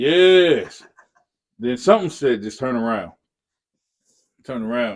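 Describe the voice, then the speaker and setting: With an animated tone, a man speaks at a medium pitch, his pitch swinging very widely between long, frequent pauses. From Newark, New Jersey. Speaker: hip-hop artist and producer. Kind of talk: casual chat. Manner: fast.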